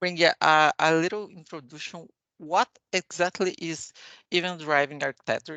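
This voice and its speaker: A woman's bright, sharp tone in a Portuguese accent, dry and close with no echo, against a quiet background. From Brazil. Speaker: software architect, conference speaker. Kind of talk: technical conference talk. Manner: halting, many fillers.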